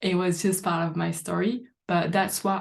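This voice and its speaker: A somewhat breathy woman's voice in a French accent, fairly low in pitch. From France. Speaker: life coach. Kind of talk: live online training talk. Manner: halting.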